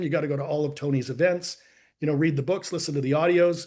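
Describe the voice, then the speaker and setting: Against a quiet background, a man with a slight Canadian accent speaks in a fairly high pitch with ordinary pitch variation. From Canada. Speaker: life and business coach. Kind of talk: interview storytelling. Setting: podcast.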